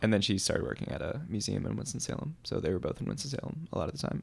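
Vocal fry marks this man's medium-pitched voice as he speaks at a very fast pace with lively intonation. The recording is very clean, and the background is silent. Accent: American. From New Orleans, US South. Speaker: filmmaker and musician. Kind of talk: casual podcast interview.

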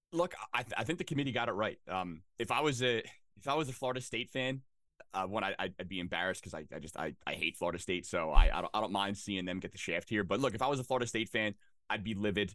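Bright and sharp in tone, a man speaks at a very fast pace. His pitch is fairly low. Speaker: sports podcast guest. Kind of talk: casual sports chat. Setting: remote call with headset.

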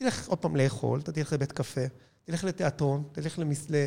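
Somewhat breathy and dark, mellow in tone, a man talks at a fairly quick pace with a fairly high pitch and ordinary pitch variation. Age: 50s. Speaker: cinema chain executive. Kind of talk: interview.

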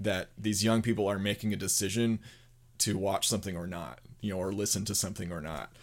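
The recording is very clean, its background silent. An unremarkable speaking voice goes at a fairly quick pace, pitch varying in an ordinary way. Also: man, fairly low pitch for a man. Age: 30s. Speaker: podcast host, video production company founder. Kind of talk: casual interview.

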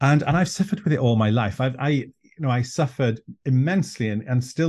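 Against a quiet background, a man with a North Welsh accent speaks with lively intonation and a dark, mellow, somewhat breathy tone. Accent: Welsh (North Wales). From North Wales, Anglesey. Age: 50s. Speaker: druid leader and author. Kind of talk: interview conversation.

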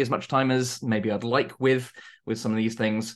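A southern English accent at a fairly quick pace, with fairly even intonation against a quiet background. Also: man. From southern England, Surrey. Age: 30s. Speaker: tabletop game writer. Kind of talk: interview. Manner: halting.

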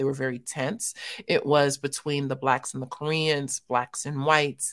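A woman's very deep, low voice in an American accent, with ordinary pitch variation, on a very clean recording with a silent background. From US West Coast, South Central Los Angeles. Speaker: theologian and ministry leader. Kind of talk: interview testimony.

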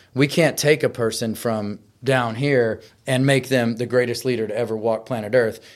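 With an American accent, a man in an ordinary speaking voice talks at a moderate pace and medium pitch with fairly even intonation on a very clean recording with a silent background. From Texas. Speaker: retired Marine and motivational speaker. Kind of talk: interview.

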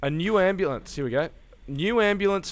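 A plain, everyday voice with lively intonation. It moves at a fairly quick pace. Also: man. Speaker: podcast co-host. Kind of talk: casual chat. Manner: profane, laughs often.

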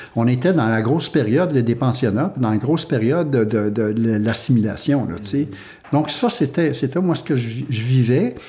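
A man speaks at a moderate pace and a medium pitch, with ordinary pitch variation. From Quebec, Huron village of Wendake. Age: 60s. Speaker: theatre company co-founder. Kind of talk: casual chat. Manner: halting.

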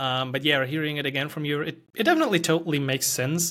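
Speaking fairly quickly with a German accent, a man uses a fairly high-pitched voice. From Germany. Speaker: podcast host and developer. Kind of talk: casual interview conversation.

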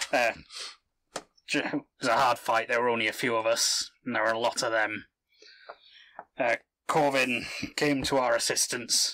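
A man puts on a raspy character voice at medium pitch, moving at a fairly slow pace with long, frequent pauses. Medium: actual play. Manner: gruff, terse.

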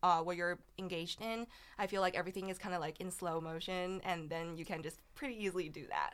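At a fairly quick pace, a woman talks with a Chinese accent at a medium pitch. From China. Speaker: college debater. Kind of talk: casual interview.

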